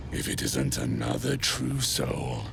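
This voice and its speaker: A man puts on a character voice. He talks at a fairly slow pace over loud background noise. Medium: machinima. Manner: gruff.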